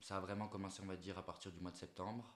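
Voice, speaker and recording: A man speaks with a Corsican accent at a very deep, low pitch. His intonation is monotone and flat. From Corsica (Ajaccio). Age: 20s. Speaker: entrepreneur, agency owner. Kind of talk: interview. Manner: hesitant, many fillers.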